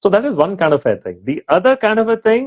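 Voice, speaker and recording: Recorded dry and close with no echo, a man talks at a fairly quick pace with lively intonation. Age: 60s. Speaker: retired army officer, motivational speaker. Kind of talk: interview. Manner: hesitant fillers, code-switching Hindi-English.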